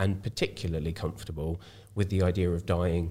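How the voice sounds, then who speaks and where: Over a silent background in a very clean recording, a man with an English accent speaks at a moderate pace in a very deep, low pitch, his tone dark and mellow, somewhat breathy, with fairly even intonation. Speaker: charity worker with cystic fibrosis.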